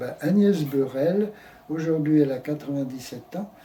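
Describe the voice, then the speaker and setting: A man's fairly high voice at a fairly slow pace, with ordinary pitch variation and noticeable background noise. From Brittany, France. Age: 80s+. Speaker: elderly man recounting his life. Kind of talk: interview. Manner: halting.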